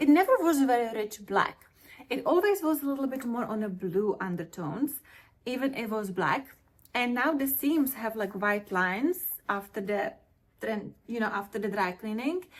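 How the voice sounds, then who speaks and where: A woman's somewhat breathy, fairly high voice with lively intonation at a moderate pace. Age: 40s. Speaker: fashion vlogger. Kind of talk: product review vlog.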